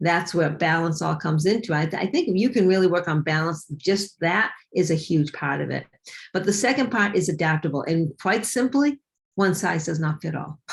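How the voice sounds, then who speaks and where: A somewhat breathy voice at a fairly quick pace, with lively intonation. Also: woman, fairly low pitch for a woman. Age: 60s. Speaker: fitness and weight loss coach. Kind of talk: interview.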